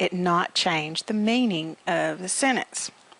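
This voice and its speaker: With ordinary pitch variation, a woman speaks at a medium pitch in a plain, everyday voice. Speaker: business English teacher. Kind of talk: recorded lecture. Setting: recording without students present.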